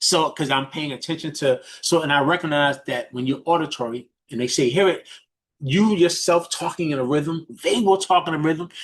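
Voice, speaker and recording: The speaker has a New York accent. The background is quiet. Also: man, fairly high pitch for a man, ordinary pitch variation. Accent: New York City (Bronx). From New York, the Bronx. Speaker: business mentor. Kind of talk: coaching talk on a group call. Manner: fast talker.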